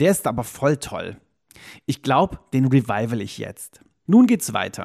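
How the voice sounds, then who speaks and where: A man at medium pitch with lively intonation and a fairly slow pace, in a dry, close sound with no echo. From Cologne, western Germany. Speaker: diary slam performer. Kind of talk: reading aloud from own diary; casual interview chat.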